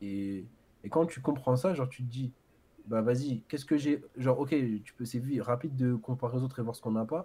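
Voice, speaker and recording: A man speaks at a fairly quick pace with a somewhat breathy, dark, mellow tone. His pitch sits in the middle range and moves in an ordinary way. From Paris area, France (Ivry). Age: 20s. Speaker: maths teacher. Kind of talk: casual chat. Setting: livestream.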